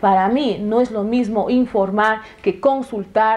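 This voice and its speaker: A woman with an Ecuadorian Amazon accent speaks at a fairly slow pace over noticeable background noise. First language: Shuar (speaking Spanish). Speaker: legislator. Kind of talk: TV interview. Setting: TV studio. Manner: halting, with fillers.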